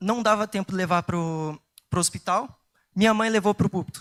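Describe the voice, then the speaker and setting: Here a man speaks with a high pitch for a man. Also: dry, close sound with no echo, very clean recording, silent background. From southern Brazil, Curitiba. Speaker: lay preacher. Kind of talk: sermon. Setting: church.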